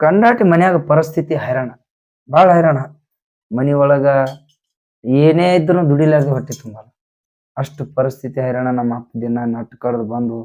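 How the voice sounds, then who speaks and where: Here a man speaks at a fairly high pitch. His loudness swings widely. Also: ordinary pitch variation. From North Karnataka, Vijayapura district. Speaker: folk singer and songwriter. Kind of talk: life story interview. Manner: halting.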